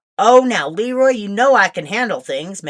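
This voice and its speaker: Putting on a character voice, a woman speaks fairly high with lively intonation. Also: moderate pace. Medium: read story. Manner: firm, commanding.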